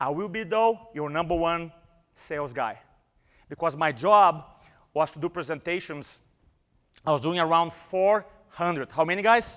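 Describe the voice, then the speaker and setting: Recorded very cleanly against a silent background, a man with a strong Brazilian accent speaks at a moderate pace in a high pitch, using ordinary pitch variation and long, frequent pauses. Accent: Brazilian Portuguese accent, thick. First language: Portuguese. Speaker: motivational speaker. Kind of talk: live seminar talk. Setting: stage with audience. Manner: animated.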